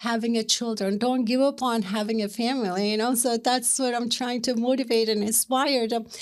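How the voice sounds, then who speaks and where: In a Turkish accent, a woman talks at a moderate pace and a high pitch. The recording is very clean, with a silent background. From Turkey, Istanbul. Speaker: matchmaker. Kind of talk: interview.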